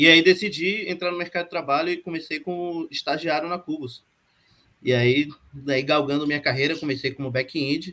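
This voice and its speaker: With a plain, everyday voice, a man with a fairly high pitch talks at a moderate pace and fairly even intonation on a very clean recording with a silent background. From Brazil, Bahia. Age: 30s. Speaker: software developer, project lead. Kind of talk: panel discussion.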